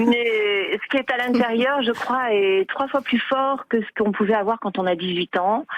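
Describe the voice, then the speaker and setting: Her voice fairly high and her pitch variation ordinary, a woman speaks at a fairly slow pace with hardly any pauses. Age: 60s. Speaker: caller. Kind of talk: radio phone-in testimony. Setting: phone call. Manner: animated; hesitant with many fillers.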